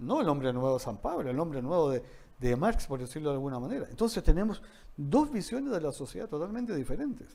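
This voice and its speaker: On a very clean recording with a silent background, a man with a dark, mellow tone and a fairly high pitch talks at a very fast pace with very wide pitch swings. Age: 60s. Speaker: economics speaker. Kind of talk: talk in a training session. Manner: hesitant with repetitions.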